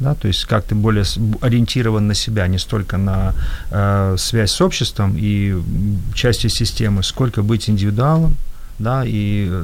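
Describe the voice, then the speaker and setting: Noticeable background noise behind a man's fairly low voice, with ordinary pitch variation and a moderate pace. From former Soviet Union. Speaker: entrepreneur. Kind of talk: panel discussion.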